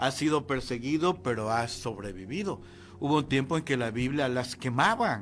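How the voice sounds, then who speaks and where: A man at a moderate pace. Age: 60s. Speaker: pastor. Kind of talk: sermon. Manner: halting.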